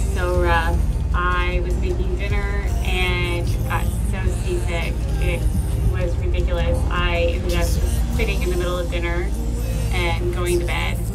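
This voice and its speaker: Loud music plays in the background. The speaker goes at a fairly slow pace with long, frequent pauses. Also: woman. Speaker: sailing vlogger. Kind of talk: casual vlog chat. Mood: relieved, cheerful. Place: boat. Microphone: phone near.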